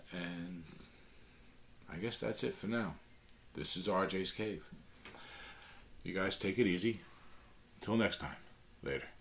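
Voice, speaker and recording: The speaker has a strong New York accent and leaves long, frequent pauses. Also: man, very deep, low pitch for a man, ordinary pitch variation, fairly slow pace. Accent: thick New York. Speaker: guitar teacher, channel host. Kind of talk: tutorial talk to camera. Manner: halting, many fillers and restarts; casual, friendly.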